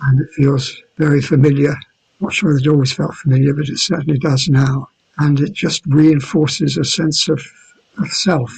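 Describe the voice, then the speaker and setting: Somewhat breathy, a man talks at a moderate pace in a fairly high voice with fairly even intonation. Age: 70s. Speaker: yoga teacher. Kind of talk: interview answer.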